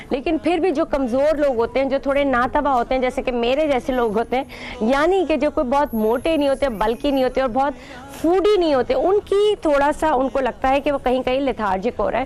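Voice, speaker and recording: A woman with a high-pitched voice talks at a moderate pace with ordinary pitch variation. Her loudness is very even, and background noise is noticeable. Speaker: TV host. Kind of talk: religious TV monologue. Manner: animated.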